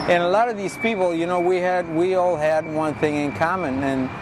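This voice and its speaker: Audible room echo and noticeable background noise surround a man speaking. He has an American accent and ordinary pitch variation. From Texas, El Paso. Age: 60s. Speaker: muralist. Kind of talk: interview. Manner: halting.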